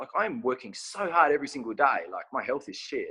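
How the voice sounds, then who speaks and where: A man with an Australian accent speaks at a very fast pace. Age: 30s. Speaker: clothing brand owner and physique competitor. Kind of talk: casual interview chat.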